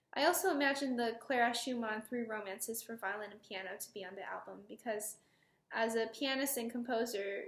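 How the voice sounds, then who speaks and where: At a moderate pace, a woman speaks in a fairly high voice with ordinary pitch variation. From US Midwest, Chicago area (Palatine, Illinois). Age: 20s. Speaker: violinist. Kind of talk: prepared personal statement.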